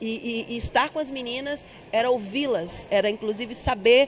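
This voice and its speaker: Amid noticeable background noise, a woman talks at a fairly slow pace in a high pitch with lively intonation. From Bahia, Brazil. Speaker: actress and singer. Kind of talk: interview.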